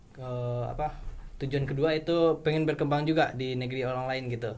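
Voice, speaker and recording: Somewhat breathy, a man speaks with monotone, flat intonation amid audible room echo. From West Sumatra, Bukittinggi. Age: 20s. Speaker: university student. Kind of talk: casual chat.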